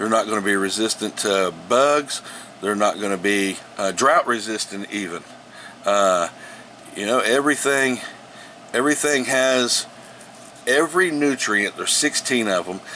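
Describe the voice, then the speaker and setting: Against noticeable background noise, a man speaks at a moderate pace and medium pitch with lively intonation and long, frequent pauses. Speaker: home gardener sharing tips. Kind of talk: casual tutorial. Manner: halting, many repetitions and fillers.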